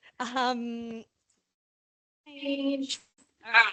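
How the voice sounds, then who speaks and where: A woman with an Australian accent, bright and sharp in tone, in a dry, close sound with no echo. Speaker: sports chiropractor. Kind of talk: presentation talk. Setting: talk to an audience with microphone. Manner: animated; loud.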